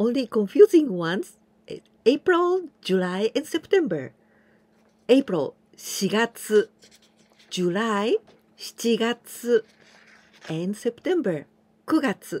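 Her voice is fairly high, and her pitch swings very widely. This woman speaks very slowly, with long, frequent pauses. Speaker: Japanese language teacher. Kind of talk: tutorial. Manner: slow, repetitive pronunciation drills. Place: home room. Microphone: phone near.

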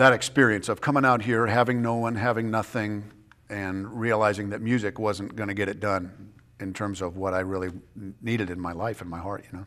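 A man with an American accent talks at a fairly quick pace in a bright, sharp tone. His pitch is fairly low and his intonation fairly even. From Southern California. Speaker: prison ministry director and former chaplain; interview guest. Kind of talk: interview; interview answer. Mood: reflective, earnest. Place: studio. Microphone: lapel.

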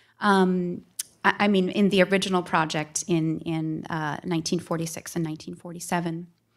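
A woman with an American accent speaks at a fairly low pitch and a very slow pace, with monotone, flat intonation. The background is quiet. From Minnesota. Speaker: art museum curator. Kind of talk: public talk. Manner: halting. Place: hall. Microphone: podium.

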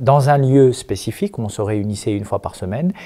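The background stays quiet as a man speaks in a dark, mellow tone. His pitch varies in an ordinary way. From Algeria and France. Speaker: imam and activist; imam. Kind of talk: interview. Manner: hesitant, many fillers. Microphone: handheld.

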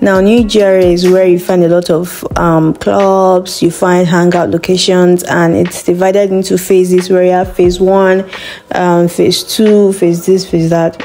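With light background noise, a woman speaks at a fairly slow pace in a monotone, flat intonation and very even loudness. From Nigeria. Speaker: voice actor. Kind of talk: casual talk to camera. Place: home room. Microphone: phone near.

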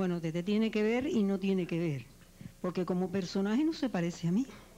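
This woman's pitch swings very widely as she talks at a moderate speed. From Cuba. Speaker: actress and radio announcer. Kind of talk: interview answer. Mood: warm, relaxed, reflective. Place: studio. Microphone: handheld.

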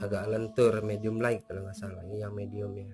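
Over faint background noise, a man speaks at a fairly low pitch in a slightly mellow tone.

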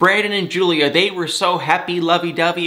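An animated man, high-pitched, at a moderate pace against a quiet background. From Michigan, US. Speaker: celebrity gossip YouTuber. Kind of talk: casual TV recap vlog. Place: home room.

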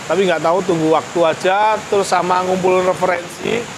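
A man talks at a fairly quick pace in a high pitch. His intonation is fairly even, with clear background noise behind him.

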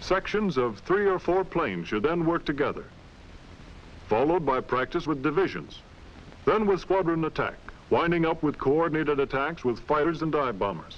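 A man speaks in a plain, everyday voice at a fairly high pitch and a moderate pace. His intonation is lively and his loudness very even. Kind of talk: 1940s military training film narration, scripted and instructional. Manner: formal, brisk and authoritative, clipped newsreel-style delivery; measured and matter-of-fact, steady technical briefing.

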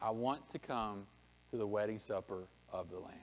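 A man talks at a moderate pace, his pitch varying in an ordinary way. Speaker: pastor. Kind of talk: sermon. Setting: church. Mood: earnest exhortation. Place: church. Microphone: podium.

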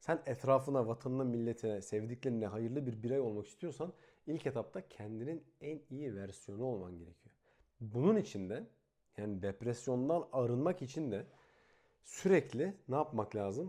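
Against a quiet background, a man speaks at a medium pitch and a moderate pace. His tone is dark and mellow, and his intonation is lively. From Turkey, İzmir. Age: 20s. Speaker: YouTuber. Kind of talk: vlog monologue. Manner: casual, conversational.

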